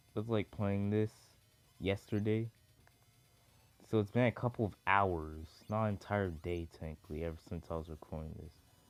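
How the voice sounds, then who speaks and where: A man's fairly low voice at a moderate pace, with ordinary pitch variation, long, frequent pauses and music in the background. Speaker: gaming youtuber. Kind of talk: gameplay commentary. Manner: halting, filler-heavy.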